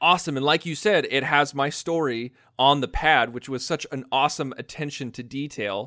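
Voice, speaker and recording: A man's fairly high pitch in a bright, sharp tone with an American accent, on a very clean recording with a silent background. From United States. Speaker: podcast co-host. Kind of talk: casual podcast chat.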